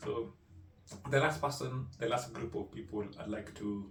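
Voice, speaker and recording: Audible room echo around a man's somewhat breathy speech. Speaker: digital marketing consultant. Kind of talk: tutorial. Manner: animated.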